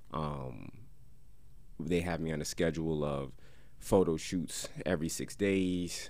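Very deep, low male voice with fairly even intonation, a fairly slow pace and long, frequent pauses, plus audible room echo. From Paterson, New Jersey. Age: 30s. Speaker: rapper. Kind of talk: casual chat. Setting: studio.

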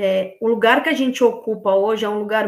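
A woman talks in an ordinary speaking voice, pitched fairly high. Her pace is moderate and her intonation fairly even. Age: 30s. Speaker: women's football collective organizer. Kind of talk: casual interview.

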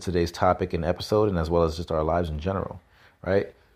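A man with a New York accent talks at a very fast pace in a very deep, low voice. His intonation is fairly even, against a quiet background. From New York City (Brooklyn, Queens). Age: 30s. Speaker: podcast host. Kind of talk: solo monologue, motivational talk. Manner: casual, hesitant with fillers.

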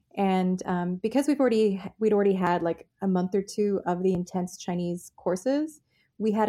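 On a very clean recording with a silent background, a woman with an American accent speaks at medium pitch in a dark, mellow tone. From North Carolina, US South. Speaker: playwright and performer, former radio host in China. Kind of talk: interview.

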